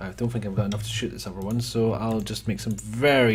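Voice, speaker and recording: A man speaks at a moderate pace in a fairly low pitch with ordinary pitch variation, in a normal speaking voice. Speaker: let's play gamer. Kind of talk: casual gameplay commentary.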